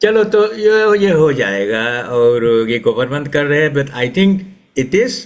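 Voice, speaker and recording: His voice is fairly high for a man and moves through very wide pitch swings. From Suriname. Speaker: retired educator and writer. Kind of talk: interview. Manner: halting.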